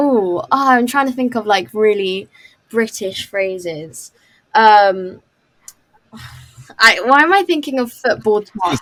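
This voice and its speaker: With a London accent, a woman speaks at a very slow pace with long, frequent pauses. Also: fairly high pitch for a woman, lively intonation. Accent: London accent, described by others as posh. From London, England. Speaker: video team member and former film extra. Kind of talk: casual chat.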